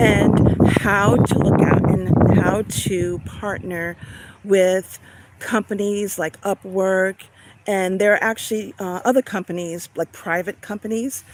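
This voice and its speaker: A woman with a slight Long Island accent talks at a medium pitch and fairly slow pace, her intonation fairly even. The sound is dry and close with no echo, though noticeable background noise is present. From Long Island, New York (Suffolk County). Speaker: online business coach. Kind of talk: live stream talk. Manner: casual, with fillers.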